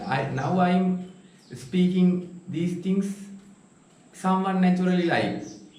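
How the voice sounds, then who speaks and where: A man with a Sri Lankan accent speaks at a very slow pace and a high pitch. There is audible room echo and noticeable background noise. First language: Sinhala. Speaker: meditation vlogger. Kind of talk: casual vlog monologue. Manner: halting.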